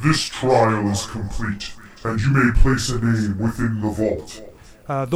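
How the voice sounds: With a booming, put-on character voice, a man speaks at a medium pitch and a fairly slow pace.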